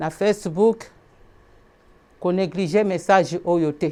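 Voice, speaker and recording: Against a quiet background, a woman with a Congolese accent speaks at a very slow pace with a medium pitch, a dark, mellow tone and fairly even intonation. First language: Lingala (speaking French). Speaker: preacher. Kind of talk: sermon.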